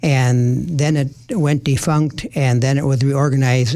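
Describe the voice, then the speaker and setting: This man has a dark, mellow tone at a medium pitch. He speaks at a fairly slow pace. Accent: Upper Midwest. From Minnesota. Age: 80s+. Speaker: retired occupational therapist and community volunteer. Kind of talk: radio interview. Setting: radio studio. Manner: hesitant, many fillers.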